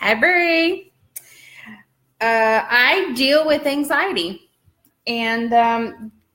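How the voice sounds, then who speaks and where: Her voice has a bright, sharp tone, a fairly high pitch and lively intonation. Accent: Southern US. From US South. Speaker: birth doula and vlogger. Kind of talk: casual vlog chat. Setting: at home folding laundry. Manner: chatty, many fillers.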